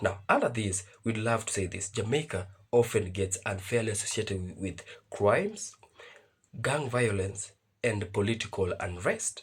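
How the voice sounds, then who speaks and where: In a very clean recording with a silent background, a man with a fairly low, somewhat breathy voice talks at a moderate pace with fairly even intonation. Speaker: reaction video host. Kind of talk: video commentary. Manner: reading from notes.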